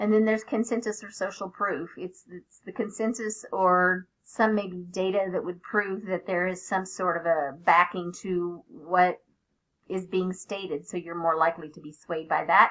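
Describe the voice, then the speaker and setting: An unremarkable speaking voice from a woman with an American accent, medium in pitch, at a moderate pace, with fairly even intonation and big swings in loudness. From Oklahoma. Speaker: teacher. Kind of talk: student presentation.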